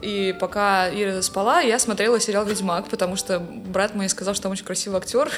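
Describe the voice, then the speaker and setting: A woman with an ordinary speaking voice, medium pitch, fairly even intonation, a fairly quick pace and hardly any pauses. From Russia, Saint Petersburg. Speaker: music professor and composer. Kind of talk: casual interview chat. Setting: studio.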